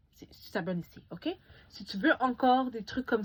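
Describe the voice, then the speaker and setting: With an animated tone and a somewhat breathy voice, a woman talks at a moderate pace with ordinary pitch variation. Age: young. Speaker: beauty YouTuber. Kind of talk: casual vlog review.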